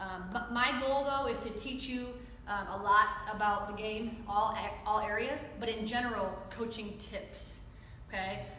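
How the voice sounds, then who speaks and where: A woman speaks with an American accent. Her voice carries audible room echo over noticeable background noise. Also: fairly high pitch for a woman, fairly slow pace. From US Midwest, Chicago. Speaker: softball coach. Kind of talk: coaching clinic lecture. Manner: animated.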